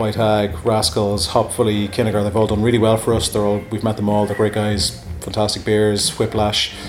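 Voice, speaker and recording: Against noticeable background noise, a man with a fairly low pitch speaks at a moderate pace with monotone, flat intonation and hardly any pauses. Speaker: bar co-owner. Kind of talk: casual interview.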